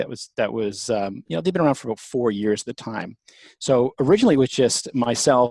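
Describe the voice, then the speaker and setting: A man with a Canadian accent at a medium pitch and very fast pace, in a very clean recording with a silent background and a dry, close sound with no echo. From Canada, Toronto. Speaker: company founder and CEO. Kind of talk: interview.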